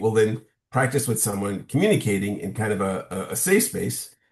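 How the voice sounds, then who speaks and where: Against a quiet background, a man with a fairly low pitch speaks somewhat breathily at a moderate pace with ordinary pitch variation. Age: 60s. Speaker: social scientist and workshop trainer. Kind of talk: interview conversation. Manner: halting with repetitions.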